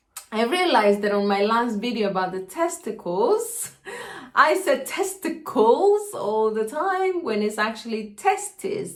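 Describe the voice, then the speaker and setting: A woman speaks with a Spanish accent at a fairly slow pace. Her intonation is lively. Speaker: health educator. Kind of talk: educational video monologue. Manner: casual, with hesitations.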